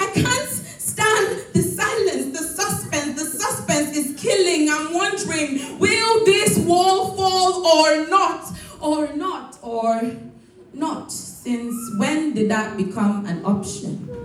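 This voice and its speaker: A high-pitched woman speaks at a very slow pace with very wide pitch swings. Noticeable background noise is present. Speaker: spoken word poet. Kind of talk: spoken word poetry performance.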